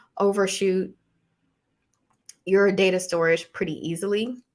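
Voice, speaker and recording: Soft-spoken and medium-pitched, the woman talks at a fairly slow pace on a very clean recording with a silent background. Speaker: academic hosting live Q&A. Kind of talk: live Q&A tutorial. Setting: live stream.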